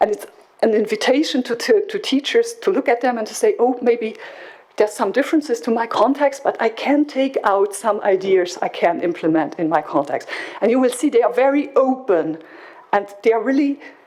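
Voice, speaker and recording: Against noticeable background noise, a woman talks at a moderate pace in a high voice. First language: French. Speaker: project coordinator presenting at education conference. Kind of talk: conference presentation. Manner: halting with repetitions.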